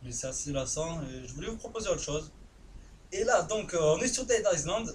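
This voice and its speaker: Amid noticeable background noise and audible room echo, a man talks at a moderate pace. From southern France. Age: 20s. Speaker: gaming youtuber. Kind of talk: live gameplay commentary. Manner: casual, hesitant with many fillers.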